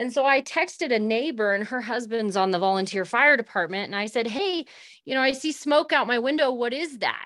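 With an American accent, a woman talks at a fairly quick pace, her high voice full of lively intonation. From US West, Northern California. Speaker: rancher. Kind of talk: interview. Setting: remote call while traveling.

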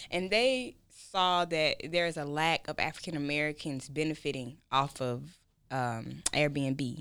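A woman's very deep, low-pitched voice at a fairly slow pace. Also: ordinary pitch variation, very clean recording, silent background. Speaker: nurse and entrepreneur. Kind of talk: casual chat. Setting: studio.

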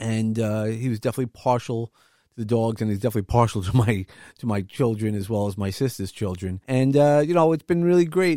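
Speaking in a Brooklyn accent at a fairly quick pace, the voice has a dark, mellow tone and ordinary pitch variation. The sound is dry and close with no echo, on a very clean recording with a silent background. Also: man. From Brooklyn, New York. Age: 50s. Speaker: podcast host. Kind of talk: casual chat.

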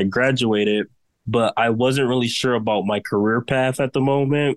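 A man's plain, everyday voice at a moderate pace, with fairly even intonation and a dry, close sound with no echo. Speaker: fashion design student and brand founder. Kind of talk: interview.

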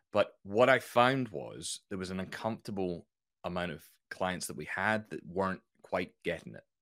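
A man with a slight Scottish accent speaks at a moderate pace with a fairly low pitch. His pitch varies in an ordinary way, but his loudness swings widely. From Scotland, near Edinburgh. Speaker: business consultant and author. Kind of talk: casual interview chat.

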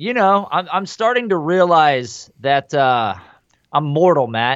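An ordinary speaking voice from a man, fairly high in pitch, at a moderate pace. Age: 30s. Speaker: fantasy football podcast host. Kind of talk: casual chat.

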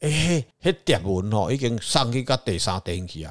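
A man speaks at a moderate pace in a fairly low voice with very wide pitch swings, on a very clean recording with a silent background. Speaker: religious consultant on a podcast. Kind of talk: casual chat.

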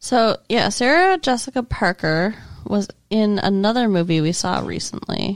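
This is a woman with an unremarkable speaking voice, medium in pitch with ordinary pitch variation. She speaks at a moderate pace on a very clean recording with a silent background. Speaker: podcast co-host. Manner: dry, sarcastic.

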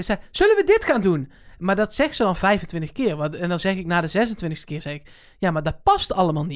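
A plain, everyday voice with lively intonation moves at a moderate pace on a very clean recording with a silent background. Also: woman, medium pitch for a woman. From Netherlands. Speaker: podcast co-host. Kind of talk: casual chat.

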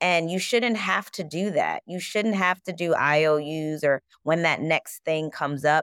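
In a very clean recording with a silent background and a dry, close sound with no echo, a woman with an unremarkable speaking voice and a fairly low pitch talks at a fairly slow pace with hardly any pauses and ordinary pitch variation. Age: 30s. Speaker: performer, voiceover artist and coach. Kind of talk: casual chat.

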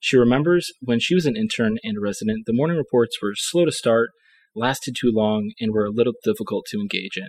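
Heard in a dry, close sound with no echo, a normal speaking voice with an American accent moves at a fairly quick pace with ordinary pitch variation. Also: man, medium pitch for a man. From Ohio, US. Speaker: medical student co-host.

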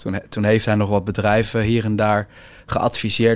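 Here a man speaks at a moderate pace. His pitch sits fairly low. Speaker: entrepreneur. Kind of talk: interview.

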